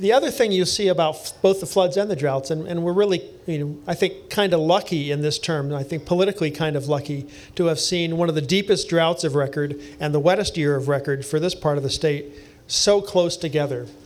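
A high-pitched man's voice with an American accent, fairly quick, with ordinary pitch variation. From US East Coast. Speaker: engineering professor. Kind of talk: panel discussion before live audience. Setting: basement bar venue with live audience.

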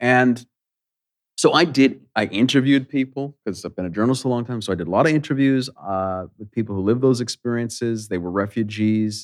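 A man with a Canadian accent talks at a fairly quick pace. He has a plain, everyday voice with ordinary pitch variation. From Edmonton, Alberta, Canada. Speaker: novelist and educator. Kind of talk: on-stage conversation. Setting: stage with audience.

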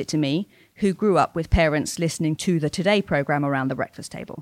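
The recording is very clean with a silent background and a dry, close sound with no echo. It carries a normal speaking voice with ordinary pitch variation at a fairly quick pace. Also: woman. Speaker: podcast host. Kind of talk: interview conversation.

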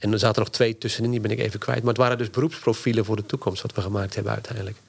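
The voice has vocal fry and fairly even intonation. The pace is very fast. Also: man. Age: 50s. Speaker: university lecturer and strategy consultant. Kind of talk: interview.

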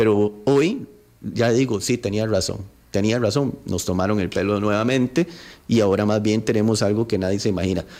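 A man speaks at a moderate pace in a fairly low pitch with ordinary pitch variation. His tone is dark and mellow, and his loudness stays very even. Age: 30s. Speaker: politician. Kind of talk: radio interview.

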